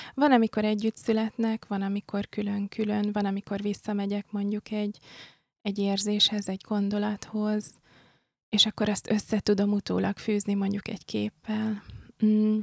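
The delivery is monotone and flat, recorded with a dry, close sound and no echo. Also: woman, medium pitch for a woman, moderate pace. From Hungary, born in Pécs, international family. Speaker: graphic artist. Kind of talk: casual interview chat. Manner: hesitant, thoughtful.

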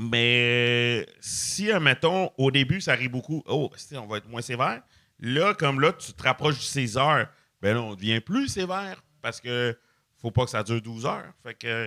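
A man's medium-pitched, bright, sharp voice with lively intonation at a fairly slow pace, in a very clean, silent recording with a dry, close sound and no echo. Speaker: comedian. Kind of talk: casual chat.

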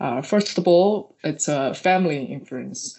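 Speaking at a fairly slow pace, a woman with a Chinese accent uses a fairly low pitch. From China. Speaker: researcher. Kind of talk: interview. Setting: remote recording. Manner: hesitant with fillers.

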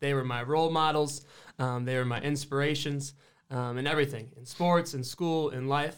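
A plain, everyday voice with an American accent moves at a fairly quick pace and fairly even intonation on a very clean recording with a silent background. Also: man. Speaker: college basketball player. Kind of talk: casual chat.

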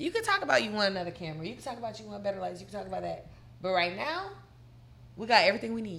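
A woman speaks very fast with big swings in loudness. Noticeable background noise and audible room echo come through. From Tennessee, Murfreesboro. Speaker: reality TV personality. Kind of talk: casual chat.

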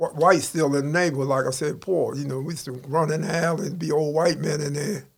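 A man's fairly high, somewhat breathy voice at a very fast pace, with fairly even intonation and hardly any pauses. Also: big swings in loudness. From Baltimore (East Baltimore, Park Heights). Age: 60s. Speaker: ex-convict. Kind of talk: casual interview.

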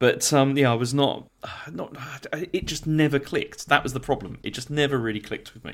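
Talking at a fairly quick pace, a man with an unremarkable speaking voice and a fairly high pitch shows ordinary pitch variation and big swings in loudness. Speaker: gaming podcaster. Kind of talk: casual chat.

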